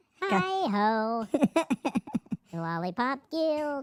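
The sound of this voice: A put-on character voice, female-sounding and fairly high in pitch, leaps through very wide pitch swings.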